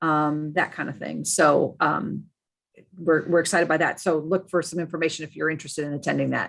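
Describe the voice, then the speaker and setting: A woman's very deep, low voice with vocal fry, flat monotone intonation and a fairly quick pace, on a very clean recording with a silent background. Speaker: state archives administrator. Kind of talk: meeting update. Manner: fast.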